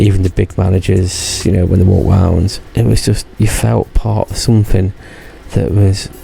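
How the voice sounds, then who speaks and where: With noticeable background noise behind him, a man speaks at a very deep, low pitch with ordinary pitch variation. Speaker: YouTuber recounting past theme park job. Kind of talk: casual vlog monologue. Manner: rambling, hesitant.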